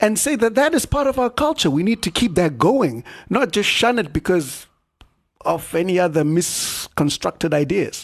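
A man speaks at a moderate pace with a high pitch, very wide pitch swings and very even loudness. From Zimbabwe. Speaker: animator and comics fan. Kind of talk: casual chat.

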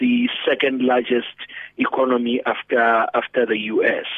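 Monotone, flat intonation runs through speech delivered at a fairly slow pace. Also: man. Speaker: pastor and economic commentator. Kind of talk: radio interview.

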